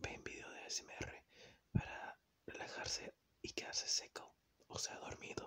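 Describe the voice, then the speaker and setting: Someone whispers at a fairly slow pace. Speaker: ASMR creator. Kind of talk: casual talk to camera.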